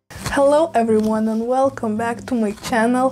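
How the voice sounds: Faint music plays behind a woman whose slightly mellow voice moves at a moderate pace. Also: fairly high pitch for a woman, fairly even intonation.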